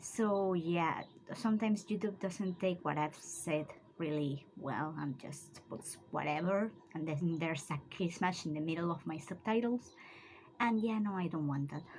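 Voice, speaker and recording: Ordinary pitch variation marks a somewhat breathy voice. The pace is moderate. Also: woman, fairly low pitch for a woman. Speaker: writing vlogger. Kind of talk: casual vlog.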